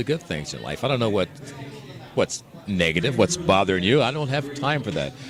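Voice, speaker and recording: There is noticeable background noise behind this male speaker. He talks at a very fast pace with lively intonation. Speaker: radio DJ and voice actor. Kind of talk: interview answer.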